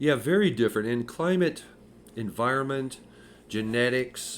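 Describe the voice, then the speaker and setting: On a very clean recording with a silent background, a man with an American accent uses a plain, everyday voice at medium pitch with lively intonation. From California, San Francisco. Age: 60s. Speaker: podcast co-host. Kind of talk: casual chat.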